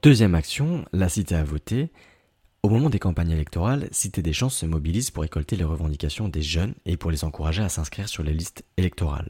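In a very clean recording with a silent background, a somewhat breathy voice with a dark, mellow tone rushes at a very fast pace with lively intonation. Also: man, very deep, low pitch for a man. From Paris suburbs (Aubervilliers, Seine-Saint-Denis). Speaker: podcast host. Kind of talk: scripted interview questions.

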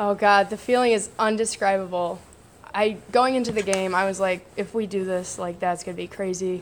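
A woman with an American accent speaks in a plain, everyday voice at medium pitch. Her pace is moderate and her intonation fairly even. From northern Illinois, US Midwest. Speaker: army reservist combat medic and college softball player. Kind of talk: casual interview.

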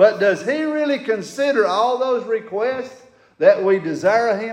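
Over noticeable background noise, a man with a Southern US accent talks at a moderate pace in a high pitch with lively intonation. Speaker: fill-in preacher. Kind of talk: sermon. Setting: church. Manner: loud.

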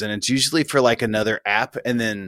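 At a moderate pace, a man talks in a plain, everyday voice of medium pitch, with a dry, close sound and no echo. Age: 40s. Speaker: podcast co-host. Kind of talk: casual chat.

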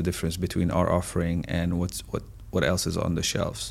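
The man's voice is pitched very deep and low. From Syria. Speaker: food company founder and CEO. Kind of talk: podcast interview.

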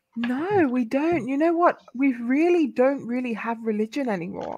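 A woman in a British accent with very wide pitch swings. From UK. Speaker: convert to Islam, media professional. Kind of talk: casual chat.

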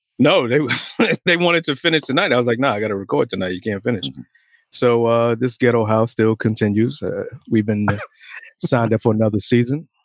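This man has an unremarkable speaking voice, medium in pitch, with lively intonation at a fairly quick pace. The recording is very clean and dry, close with no echo and a silent background. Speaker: podcast co-host. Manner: casual, conversational.

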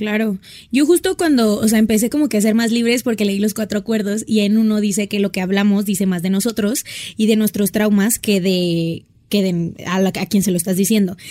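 A woman with a dark, mellow tone speaks fairly quickly, keeping her loudness very even and her pitch variation ordinary. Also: medium pitch for a woman. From Sonora, northern Mexico. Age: 20s. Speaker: fashion influencer. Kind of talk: casual chat.

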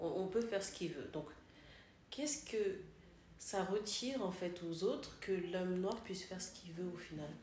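There is audible room echo around a woman's medium-pitched voice. She talks at a moderate pace with ordinary pitch variation and long, frequent pauses. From Congo, Kinshasa. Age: 30s. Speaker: cultural media presenter. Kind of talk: casual discussion.

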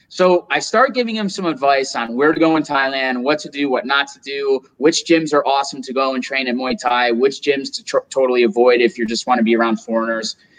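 With an upstate New York accent, a man speaks using lively intonation. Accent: American, upstate New York. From US, Rochester, New York. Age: 20s. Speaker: entrepreneur. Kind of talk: casual interview.

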